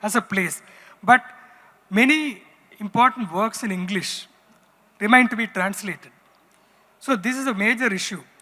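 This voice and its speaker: Someone speaks at a fairly quick pace in a Tamil accent. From Tamil Nadu, India (Kerala family roots). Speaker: writer and former magazine editor, panelist. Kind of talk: panel discussion.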